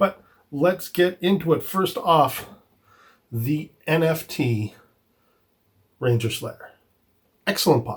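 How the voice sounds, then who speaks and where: A man speaks in a somewhat breathy voice. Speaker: toy collecting youtuber. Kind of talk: product review. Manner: casual with filler words.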